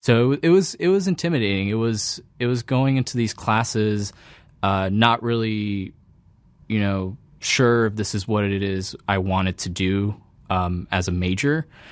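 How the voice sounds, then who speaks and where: This man has a plain, everyday voice with a fairly low pitch. He speaks at a moderate pace. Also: ordinary pitch variation. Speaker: PhD student in computer science. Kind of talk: interview monologue. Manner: frequent fillers and self-corrections.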